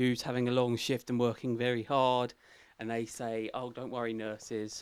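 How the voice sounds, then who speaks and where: Medium in pitch and with a British accent, a man speaks at a moderate pace in a monotone, flat intonation. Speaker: podcast host. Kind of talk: casual banter, comedy chat.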